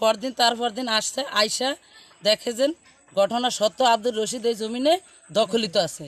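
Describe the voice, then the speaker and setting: Over noticeable background noise, a man speaks in an extremely high voice with ordinary pitch variation, the sound dry and close with no echo. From Bangladesh, Bhola district (Borhanuddin). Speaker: local resident speaking for a neighbour family. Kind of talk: testimony.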